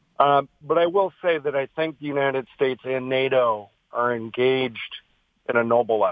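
A man in an ordinary speaking voice talks at a moderate pace, medium in pitch with ordinary pitch variation. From Michigan, US. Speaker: caller. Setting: phone call.

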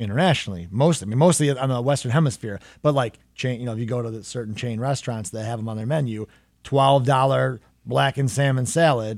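The speaker talks at a fairly quick pace in a plain, everyday voice with ordinary pitch variation. The recording is very clean, with a silent background. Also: man. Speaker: chef and host. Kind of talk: interview conversation.

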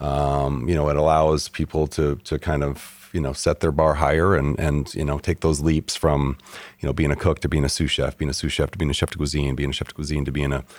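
In an American accent, a man with a very deep, low voice and vocal fry talks at a fairly quick pace in a flat monotone. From Michigan. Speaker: chef and restaurant owner. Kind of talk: interview.

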